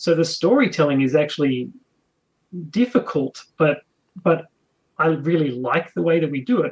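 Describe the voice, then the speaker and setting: A man with an Australian accent, fairly high in pitch, with ordinary pitch variation and long, frequent pauses. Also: moderate pace. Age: 40s. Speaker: game designer. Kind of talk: interview.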